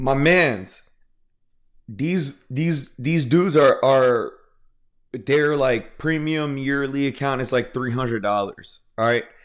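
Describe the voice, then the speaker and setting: A man's fairly high-pitched voice with an American accent, at a very slow pace. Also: ordinary pitch variation. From Houston, Texas. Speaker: comics podcast host. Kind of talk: casual solo commentary. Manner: halting, many repetitions and fillers.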